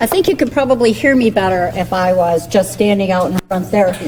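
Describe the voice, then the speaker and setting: A woman speaks at a moderate pace with lively intonation. Noticeable background noise can be heard. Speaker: political candidate. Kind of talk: campaign speech. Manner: loud.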